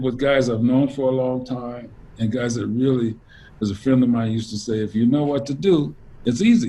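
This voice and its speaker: A man speaks with an American accent, and his voice is somewhat breathy. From Louisiana (New Orleans, Lake Charles), then Los Angeles. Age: 60s. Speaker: jazz saxophonist. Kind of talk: interview. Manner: relaxed, many fillers and restarts.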